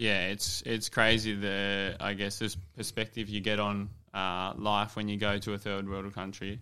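With an Australian accent, a man speaks fairly slowly in a fairly low, bright, sharp voice, flat and monotone with hardly any pauses, on a very clean recording with a silent background. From New South Wales, Australia (Dubbo). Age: 20s. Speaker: professional footballer. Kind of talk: casual interview. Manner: hesitant, many fillers.

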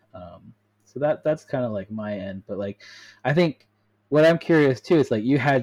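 Speaking in a normal speaking voice with an American accent, a man talks at a moderate pace with lively intonation, the sound dry and close with no echo. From US (Colorado, East Coast). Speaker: podcast host. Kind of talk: casual interview chat.

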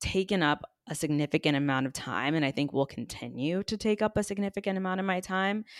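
A woman with an unremarkable speaking voice and fairly low pitch talks at a fairly quick pace with ordinary pitch variation, her dry, close sound carrying no echo on a very clean recording with a silent background. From Texas, San Antonio. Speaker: influencer and podcast host. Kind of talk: casual chat.

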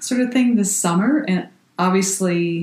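Her medium-pitched voice somewhat breathy, a woman speaks with lively intonation. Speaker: podcast co-host. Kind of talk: casual chat.

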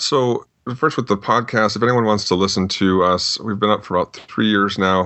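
This man has an unremarkable speaking voice with an American accent, pitched fairly low, moving at a moderate pace with fairly even intonation and very even loudness. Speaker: fingerprint examiner. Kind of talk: casual interview.

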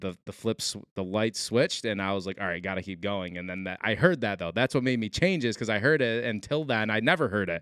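With an American accent and a plain, everyday voice, a man speaks at a fairly low pitch with lively intonation on a very clean recording with a silent background. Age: 20s. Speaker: podcast host. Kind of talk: casual interview.

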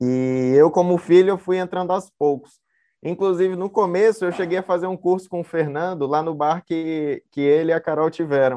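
Speaking with fairly even intonation, the man has a high voice. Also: moderate pace. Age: 20s. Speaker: brewer. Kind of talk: casual panel interview.

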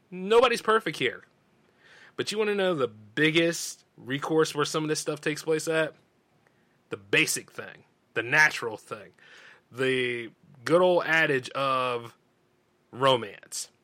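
A man with a slight Southern US accent talks fairly slowly with long, frequent pauses, his fairly high voice bright, sharp and animated, with lively intonation. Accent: slight Southern drawl. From US South. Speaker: radio show host. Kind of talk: casual monologue.

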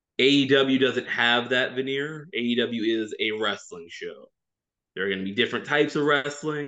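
A man with an American accent has an unremarkable speaking voice at a medium pitch. He talks at a moderate pace with ordinary pitch variation. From Louisiana, US South. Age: 20s. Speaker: wrestling columnist. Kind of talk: casual chat.

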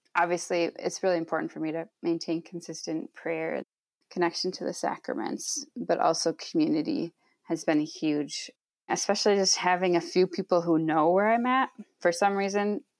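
A woman at a moderate pace, dry and close with no echo, on a very clean recording with a silent background. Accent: Upper Midwest. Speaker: social worker and podcaster. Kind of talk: interview conversation. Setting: at parents' house.

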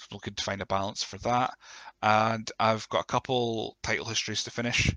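A man with a fairly low pitch and a croaky voice speaks at a fairly quick pace, his tone bright and sharp, his intonation fairly even, and the sound dry and close with no echo.

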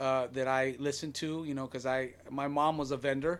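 Speaking with an American accent, a man talks at a fairly quick pace. His fairly high voice stays monotone and flat. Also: very clean recording, silent background. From Long Beach, California. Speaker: music producer and nonprofit founder. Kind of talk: testimony.

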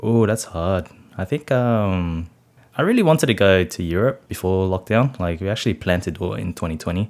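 Quick-paced and with lively intonation, a man speaks at a very deep, low pitch in an Australian accent. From Sydney, Australia (Cabramatta, western Sydney). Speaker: food blogger and optometrist. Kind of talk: casual interview chat.

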